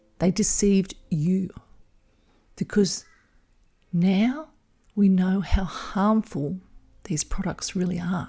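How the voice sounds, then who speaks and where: A dark, mellow, somewhat breathy voice with a calm, soothing tone talks at a very slow pace, leaving long, frequent pauses. The pitch varies an ordinary amount, and the recording is very clean with a silent background. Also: woman, medium pitch for a woman. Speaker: hypnotherapist and midwife. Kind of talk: hypnosis audio program. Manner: calm, slow, soothing.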